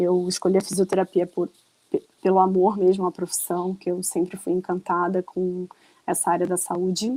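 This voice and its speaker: A woman talks in a monotone, flat intonation at a moderate pace and a medium pitch. The sound is dry and close, with no echo. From Rio de Janeiro, Brazil. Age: 40s. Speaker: runner and online shop owner. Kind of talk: podcast interview.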